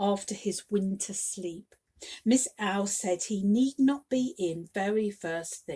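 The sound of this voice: The voice is an unforced reading voice, set against a quiet background.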